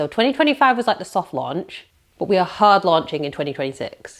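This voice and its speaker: Speaking in a British accent, a woman has a medium pitch. Her pitch swings very widely. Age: 40s. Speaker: self-employed content creator. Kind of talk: casual talk to camera. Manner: chatty.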